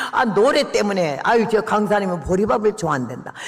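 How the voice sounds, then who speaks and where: Noticeable background noise sits behind the recording. A man speaks at a high pitch. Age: 80s+. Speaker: missionary preacher. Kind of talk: sermon. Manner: storytelling, conversational.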